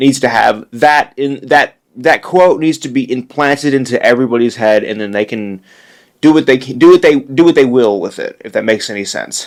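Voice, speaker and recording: A man is speaking at a moderate pace. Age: 20s. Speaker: podcast host. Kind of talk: casual monologue. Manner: halting.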